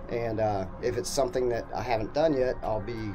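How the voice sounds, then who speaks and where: Over clear background music, a man speaks at a fairly quick pace with ordinary pitch variation. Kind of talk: casual vlog chat. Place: bus. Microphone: phone near.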